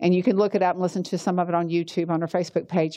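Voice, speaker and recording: The voice has an American accent, a dark, mellow tone and monotone, flat intonation. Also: woman, quiet background. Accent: Southern, stronger around fellow Georgians. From US South, Georgia. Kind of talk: teaching talk with prayer.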